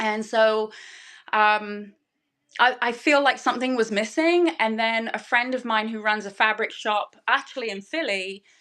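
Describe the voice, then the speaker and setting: Against a quiet background, a woman in a strong English accent talks at a fairly slow pace and fairly high pitch, her tone bright and sharp with ordinary pitch variation. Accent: English accent, still strong. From southern England. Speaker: fabric designer and online seller. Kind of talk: casual chat.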